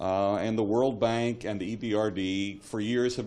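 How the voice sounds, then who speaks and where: With an American accent, a man speaks at a fairly low pitch and fairly even intonation while the room adds audible echo. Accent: American accent, noticeable. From United States. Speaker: railway expert, government economist. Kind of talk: conference panel talk. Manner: halting, many fillers and repeats.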